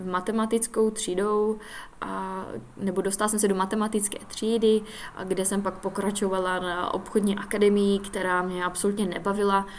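An ordinary speaking voice at a moderate pace, with fairly even intonation. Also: woman. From Czech Republic, Silesia (Hlučín, between Opava and Ostrava). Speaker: podcast host. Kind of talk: personal monologue.

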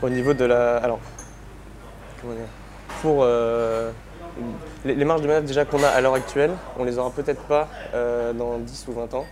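At a moderate pace, a man of medium pitch talks with fairly even intonation and long, frequent pauses over noticeable background noise. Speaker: engineering student. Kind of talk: interview. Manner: halting, many repetitions and fillers.

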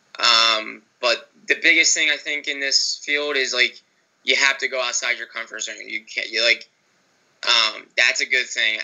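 Using a normal speaking voice with an American accent, a man speaks fairly slowly at medium pitch with fairly even intonation. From Philadelphia area, Delaware County. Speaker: sports writer. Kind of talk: interview.

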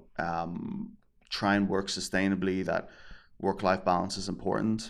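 This man speaks in a normal speaking voice, fairly low in pitch, at a moderate pace. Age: 30s. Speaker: creative director and author. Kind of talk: podcast interview.

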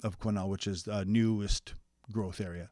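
A man with a Canadian accent and a plain, everyday voice, fairly low in pitch, at a moderate pace with fairly even intonation, in a dry, close, echo-free and very clean recording with a silent background. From interior British Columbia, Canada. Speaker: registered massage therapist. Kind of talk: casual interview.

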